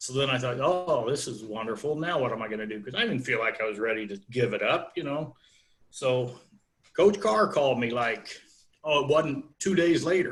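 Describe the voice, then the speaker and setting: A man's somewhat breathy, fairly high voice moves at a moderate pace with lively intonation. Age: 60s. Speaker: wrestling coach. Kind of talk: interview.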